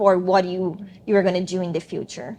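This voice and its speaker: A woman talks at a moderate pace. She has a strong non-native accent. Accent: thick foreign. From Brazil. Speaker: attorney, former student. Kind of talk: interview.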